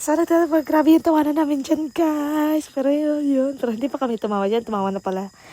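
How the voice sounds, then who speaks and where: Rushing along at a very fast pace with hardly any pauses, a woman speaks at a high pitch with ordinary variation. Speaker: vlogger. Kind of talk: vlog voiceover narration. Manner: casual, chatty.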